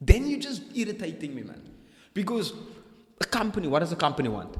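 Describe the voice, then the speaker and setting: A man talks very fast at a high pitch in an animated tone, with very wide pitch swings and big swings in loudness. Noticeable background noise can be heard. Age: young. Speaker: entrepreneur, former sales consultant. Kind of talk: casual chat.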